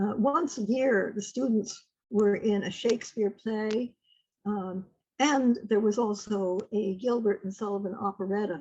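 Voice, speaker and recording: Her voice is medium-pitched and somewhat breathy, with ordinary pitch variation. The woman speaks at a fairly slow pace. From upstate New York. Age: 80s+. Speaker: retired literature teacher. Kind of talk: oral history interview. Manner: halting.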